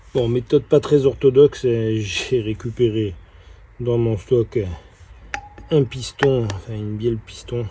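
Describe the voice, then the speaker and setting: A man with a medium pitch talks at a very slow pace, leaving long, frequent pauses. Noticeable background noise runs underneath. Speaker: car restorer and video creator. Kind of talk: workshop tutorial narration. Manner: halting, many repetitions and hesitations.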